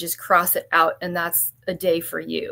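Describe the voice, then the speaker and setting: A woman's voice at medium pitch. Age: 60s. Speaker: realtor. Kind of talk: live interview.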